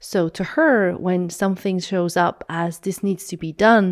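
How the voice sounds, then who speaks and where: A woman's medium-pitched voice at a moderate pace, with fairly even intonation, in a very clean recording over a silent background. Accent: Swiss German. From Switzerland, Swiss German speaking. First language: Swiss German. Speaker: podcast co-host. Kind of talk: casual chat. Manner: halting.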